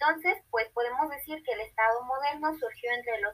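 This is a woman speaking in a high pitch. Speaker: university student playing a historian. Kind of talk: scripted class podcast.

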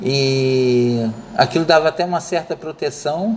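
A man's fairly high voice with lively intonation over noticeable background noise. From Rio de Janeiro suburbs, Brazil. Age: 50s. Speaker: student. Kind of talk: personal memoir presentation. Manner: unscripted, hesitant.

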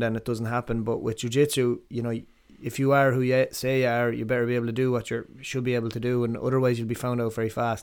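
A man with an Irish Midlands accent talks very fast at a medium pitch. His intonation stays monotone and flat. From Ireland, Athlone. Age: 30s. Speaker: martial arts coach and gym owner. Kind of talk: casual chat. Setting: in-person recording.

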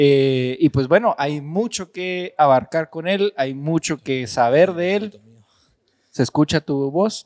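Dry and close with no echo, the clip has a man with a fairly high pitch and ordinary pitch variation speaking at a very slow pace. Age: 20s. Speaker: podcast co-host. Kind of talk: casual podcast chat.

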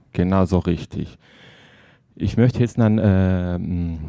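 A man with a non-native accent, very deep and low in pitch, dark and mellow in tone, at a very slow pace with ordinary pitch variation. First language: not German (speaking German). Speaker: editor of a book by post-Soviet journalists. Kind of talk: interview. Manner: halting.

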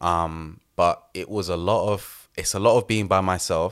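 In a very clean recording with a silent background, a man with a London accent speaks in a very deep, low pitch and fairly even intonation. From East London. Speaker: photographer and assistant director. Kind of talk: casual interview.

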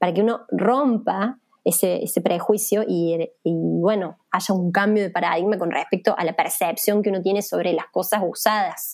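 A woman speaks in a normal speaking voice at a moderate pace, with fairly even intonation. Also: medium pitch for a woman. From Argentina, Villa María, Córdoba. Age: 30s. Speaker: fashion activist, NGO coordinator. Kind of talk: interview.

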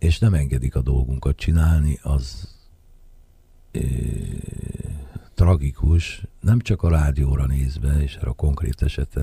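Speaking at a fairly slow pace, a man uses a very deep, low pitch with ordinary variation. He leaves long, frequent pauses, and noticeable background noise is present. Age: 60s. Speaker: jazz saxophonist and composer. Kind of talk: radio interview.

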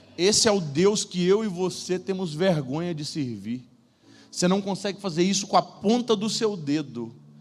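This man has a high pitch and an animated tone. He talks at a moderate pace with lively intonation. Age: 30s. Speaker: preacher. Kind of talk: sermon. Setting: church stage with audience.

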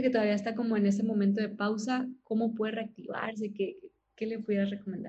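This woman's voice is fairly high-pitched and somewhat breathy. She speaks at a moderate pace. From Monterrey, Mexico. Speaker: podcast host. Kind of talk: interview conversation.

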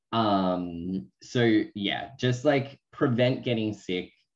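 An Australian-accented man speaks with very wide pitch swings. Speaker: podcast co-host. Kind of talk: casual chat.

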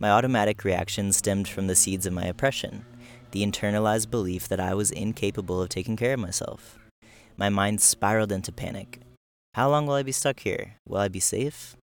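A man speaks in a normal speaking voice, fairly low-pitched and at a fairly quick pace, with ordinary pitch variation. The recording is very clean, with a silent background. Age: 20s. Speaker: attachment coach. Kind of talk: reading aloud. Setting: on the road, bikepacking trip.

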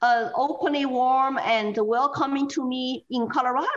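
A woman in a Chinese accent, high in pitch, at a fairly slow pace. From China. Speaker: political activist. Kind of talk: interview.

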